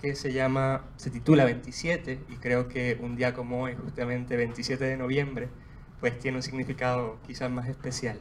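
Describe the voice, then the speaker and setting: Noticeable background noise behind a man's medium-pitched voice, monotone and flat in intonation, at a moderate pace. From Puerto Rico, Juana Díaz. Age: 20s. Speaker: poet. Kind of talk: book presentation with poetry reading. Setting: bookstore event with audience.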